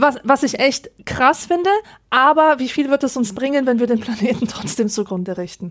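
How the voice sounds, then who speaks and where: High female voice, lively intonation, moderate pace. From Rhineland, Germany. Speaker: podcast co-host. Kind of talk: casual chat.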